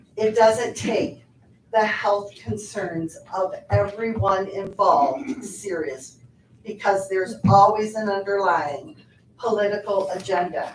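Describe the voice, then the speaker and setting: Speaking at a very slow pace, a woman uses medium pitch and ordinary pitch variation against noticeable background noise. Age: 60s. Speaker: public commenter at county board meeting. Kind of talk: public comment at a meeting. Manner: earnest, hesitant with fillers.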